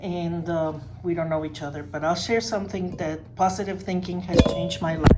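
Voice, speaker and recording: Speaking at a moderate pace in a Spanish accent, a woman is heard with audible room echo and noticeable background noise. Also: ordinary pitch variation. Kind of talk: personal testimony in a workshop.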